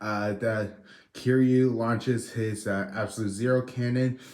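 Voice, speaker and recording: This man speaks quietly at a fairly slow pace. His intonation is flat and monotone. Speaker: toy reviewer. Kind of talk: video review. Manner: low, quiet; hesitant, many fillers.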